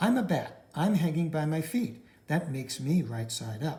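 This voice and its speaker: A man speaks in a put-on character voice. His pitch sits fairly high. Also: moderate pace. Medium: read story.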